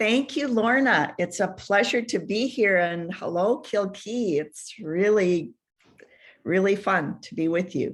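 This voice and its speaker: On a very clean recording with a silent background, a woman speaks with an Upper Midwest accent. Her medium pitch carries lively intonation at a fairly slow pace. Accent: Upper Midwest American. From Minnesota, US. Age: 70s. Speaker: author and family historian. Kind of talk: radio interview. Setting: radio show.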